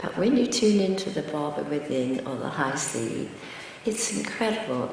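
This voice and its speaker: In an American accent, a woman speaks at a moderate pace with lively intonation. Audible room echo and noticeable background noise fill the recording. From England. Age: 80s+. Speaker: spiritual speaker. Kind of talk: talk to devotees. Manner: halting.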